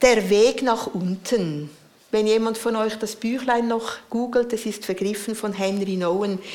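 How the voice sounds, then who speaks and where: Room echo is audible as a woman speaks at a fairly high pitch with fairly even intonation. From Central Switzerland. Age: 60s. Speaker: preacher and spiritual director. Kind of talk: sermon.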